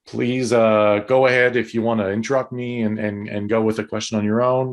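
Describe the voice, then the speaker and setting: In a Quebec accent, a man of medium pitch speaks at a moderate pace against a quiet background. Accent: Québécois French accent in English. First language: French. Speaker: tourism consultant. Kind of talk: webinar presentation. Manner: halting, hesitant.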